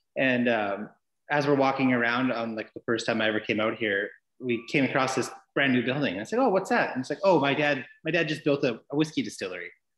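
A man with a British Columbian accent talks at a very fast pace and medium pitch with ordinary pitch variation, with audible room echo and a quiet background. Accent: Canadian (British Columbia). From Vancouver Island, British Columbia, Canada (Cumberland). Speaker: distillery worker; guest. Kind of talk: casual interview. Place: home room. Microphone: video call.

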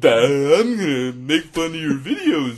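A man's put-on character voice at a fairly high pitch and a fairly slow pace. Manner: mocking.

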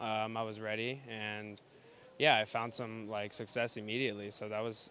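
A man with an American accent speaks at a fairly quick pace and a medium pitch, in an unremarkable speaking voice. The sound is dry with no echo, over light background noise. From Texas. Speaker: poker player. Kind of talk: interview. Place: hall. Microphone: handheld.

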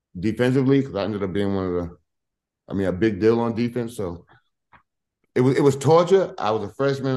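Fairly quick in pace, a man speaks at medium pitch with a dark, mellow tone and ordinary pitch variation. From US Northeast (Hempstead, Long Island, New York); New York. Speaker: former college basketball player. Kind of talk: casual interview. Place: home room. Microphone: video call.

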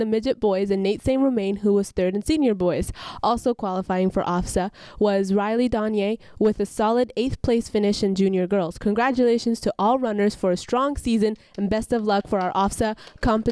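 A woman's dark, mellow voice at a moderate pace, with fairly even intonation, very even loudness, and a dry sound with no echo over a quiet background. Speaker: student announcer. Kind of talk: school announcements read aloud. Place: studio. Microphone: handheld.

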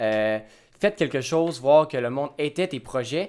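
The background is silent in this very clean recording. A man moves at a moderate pace, his intonation lively. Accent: Quebec. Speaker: YouTube host. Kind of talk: casual chat.

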